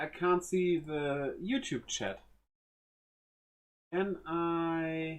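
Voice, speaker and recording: Speaking in a German accent at a very slow pace, the voice leaves long, frequent pauses. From Germany. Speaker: streamer. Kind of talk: live stream chat while building a model. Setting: live stream. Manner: casual, halting.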